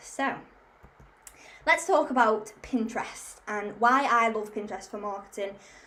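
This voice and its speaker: Amid audible room echo, a woman with a fairly high pitch talks at a fairly slow pace with ordinary pitch variation. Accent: Liverpool. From Liverpool, England. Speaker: marketing community founder. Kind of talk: webinar presentation. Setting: online webinar.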